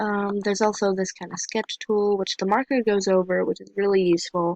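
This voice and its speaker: A woman of medium pitch speaks with ordinary pitch variation in a dry, close sound with no echo. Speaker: amateur artist reviewing apps. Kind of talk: casual tutorial review. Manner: fast; hesitant, many fillers.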